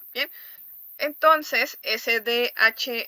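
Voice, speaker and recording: A woman speaks with a fairly high pitch and a bright, sharp tone. The sound is dry and close, with no echo. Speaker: teacher. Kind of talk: online class lecture.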